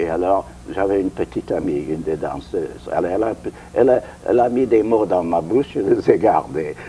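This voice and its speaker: Against noticeable background noise, a man with a slight non-native accent talks at a fairly quick pace. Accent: foreign accent, slight in French. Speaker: interviewee, former show producer. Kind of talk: interview. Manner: halting.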